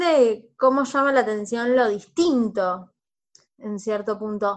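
A woman's high-pitched voice against a quiet background. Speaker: podcast host, sociologist. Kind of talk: casual chat.

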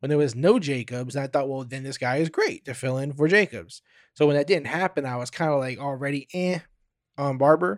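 On a very clean recording with a silent background, a man with a fairly high pitch talks at a fairly quick pace in an animated tone, with ordinary pitch variation. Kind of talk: podcast monologue previewing a game, sports talk. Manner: animated, fan-style; casual, conversational, with filler words.

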